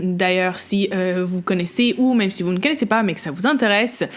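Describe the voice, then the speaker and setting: The speaker has a Quebec accent and ordinary pitch variation. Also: woman. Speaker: podcast host. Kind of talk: casual podcast monologue. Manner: halting, many hesitations.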